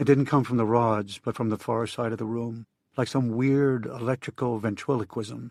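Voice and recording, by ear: Reading aloud in a natural voice, with fairly even intonation against a quiet background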